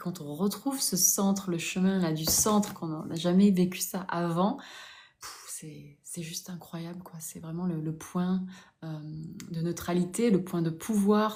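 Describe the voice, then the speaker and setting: Audible room echo surrounds a woman speaking at a fairly slow pace and medium pitch. Her tone is dark and mellow, somewhat breathy, with fairly even intonation. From southern France, Toulouse. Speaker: spiritual coach. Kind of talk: live stream chat. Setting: live stream.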